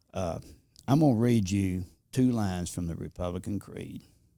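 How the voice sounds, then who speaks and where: A man's very deep, low voice with a dark, mellow tone, ordinary pitch variation and a moderate pace. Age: 70s. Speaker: Air Force veteran and freshman legislator. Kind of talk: casual interview. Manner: halting.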